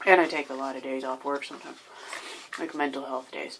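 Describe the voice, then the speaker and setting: Soft-spoken and at a fairly quick pace, a woman talks over noticeable background noise. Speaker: video diarist with bipolar disorder. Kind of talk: personal video diary. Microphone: may be too quiet.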